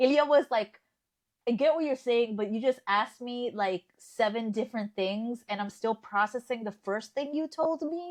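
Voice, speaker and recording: Recorded with a dry, close sound with no echo, a woman speaks with a Spanish accent and a fairly high pitch. Her pace is moderate and her pitch variation ordinary. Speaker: podcast co-host, journalist. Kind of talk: casual chat.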